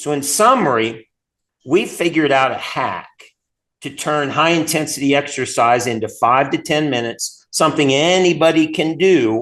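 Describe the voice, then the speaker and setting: A man with a fairly high pitch speaks at a moderate pace with ordinary pitch variation over a quiet background. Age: 60s. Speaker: chiropractor and company founder. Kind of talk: interview. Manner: enthusiastic.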